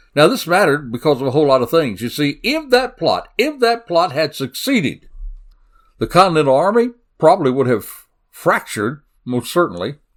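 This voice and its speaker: Recorded very cleanly with a silent background, a man with a Southern US accent talks at a fairly quick pace with very wide pitch swings. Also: fairly high pitch for a man. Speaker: crime podcast host. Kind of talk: solo podcast narration. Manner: animated.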